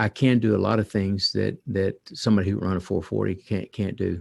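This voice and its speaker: In a very clean recording with a silent background and a dry, close sound free of echo, a man speaks fairly quickly at a fairly low pitch with vocal fry and fairly even intonation. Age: 60s. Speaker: author and parenting guest. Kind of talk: podcast interview.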